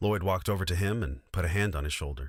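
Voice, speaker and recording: Vocal fry and ordinary pitch variation in a very deep, low male voice. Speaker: audiobook narrator. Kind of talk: audiobook reading.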